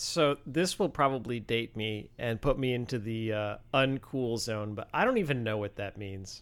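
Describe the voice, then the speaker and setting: With an American accent, a man talks at a moderate pace in a normal speaking voice, medium in pitch with ordinary pitch variation and hardly any pauses, on a very clean recording with a silent background. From Michigan. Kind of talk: casual chat.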